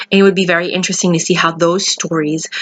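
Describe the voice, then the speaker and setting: A woman's fairly low pitch. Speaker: aspiring documentary filmmaker. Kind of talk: fundraising appeal to camera. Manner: fast; animated.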